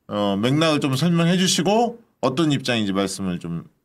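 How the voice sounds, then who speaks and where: Animated male voice at medium pitch, moderate pace, and very wide pitch swings. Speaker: political YouTube host. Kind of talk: political talk show. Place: studio. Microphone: studio mic.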